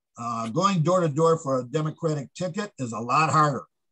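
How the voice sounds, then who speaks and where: In a dry, close sound with no echo, a man with a fairly high voice talks with an American accent. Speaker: author and campaign trainer. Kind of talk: casual chat. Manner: fast; informal.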